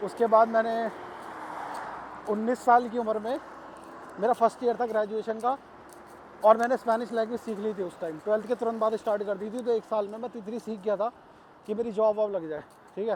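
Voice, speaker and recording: The speech is broken by long, frequent pauses, with fairly even intonation. Noticeable background noise runs underneath. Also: man, high pitch for a man. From India, Ghaziabad (Uttar Pradesh). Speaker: vlogger. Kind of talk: casual vlog monologue. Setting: outdoors, walking. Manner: casual, conversational.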